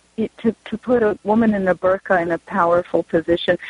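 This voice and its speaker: A woman with an American accent speaks at a moderate pace in a somewhat breathy voice. The sound is dry and close, with no echo. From Southern California. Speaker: novelist. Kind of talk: author talk. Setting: remote call.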